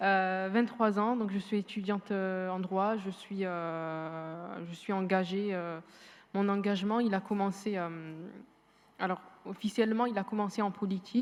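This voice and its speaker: Her pitch is medium for a woman, with fairly even intonation. She speaks at a fairly slow pace. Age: 20s. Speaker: law student and entrepreneur. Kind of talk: panel testimony. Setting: university amphitheatre with audience. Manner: hesitant, repeats words.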